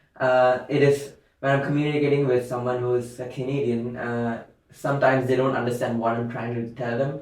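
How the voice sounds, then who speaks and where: Audible room echo follows a very fast pace and monotone, flat intonation. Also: man, medium pitch for a man. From tropical India. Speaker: university student. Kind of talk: casual chat. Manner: halting, searching for words.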